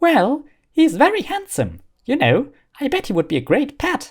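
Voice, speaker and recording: A man puts on a character voice at an extremely high pitch, speaking at a moderate pace. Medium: read story. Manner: gleeful, excitable.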